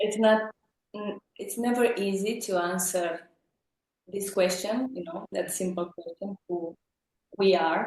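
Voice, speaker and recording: At a fairly slow pace with long, frequent pauses, a woman with a Romanian accent and a medium pitch keeps her intonation fairly even, the sound dry and close with no echo. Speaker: psychologist. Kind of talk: casual interview chat. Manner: halting, with fillers.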